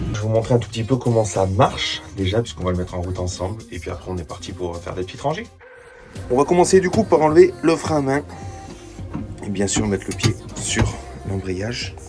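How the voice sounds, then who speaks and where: A man's lively intonation with long, frequent pauses, music in the background. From France, Savoie. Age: 30s. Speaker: travel vlogger, farm worker. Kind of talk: casual vlog narration. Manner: casual, many fillers.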